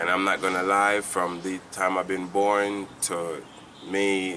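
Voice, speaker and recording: Speaking very slowly with a Jamaican accent, a man has a very deep, low pitch and a bright, sharp tone. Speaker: church member giving testimony. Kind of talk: testimony. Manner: halting.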